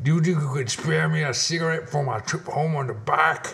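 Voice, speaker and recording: The speaker uses a put-on character voice. The delivery is fairly quick. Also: man, fairly high pitch for a man. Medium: comedy sketch. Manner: repetitive, wheedling.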